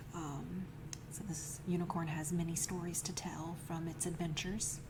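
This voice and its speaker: Against noticeable background noise, a soft-spoken woman with a fairly low pitch talks fairly slowly in a monotone, flat intonation. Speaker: ASMR creator. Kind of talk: ASMR narration.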